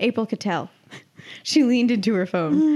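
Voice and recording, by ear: Natural-voiced reading aloud, its intonation lively throughout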